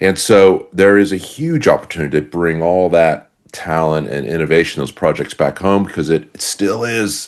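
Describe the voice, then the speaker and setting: With a very deep, low pitch, a man talks over a quiet background. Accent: Chicago. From US, Chicago. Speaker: company executive, investor. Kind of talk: podcast interview. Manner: many fillers and false starts.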